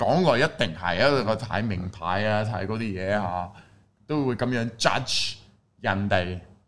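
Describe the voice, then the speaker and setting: Speaking at a fairly slow pace with a non-native accent, a man uses a fairly low pitch and ordinary pitch variation. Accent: foreign accent in Cantonese. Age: young. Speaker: Cantonese-speaking foreign YouTuber. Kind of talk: casual chat.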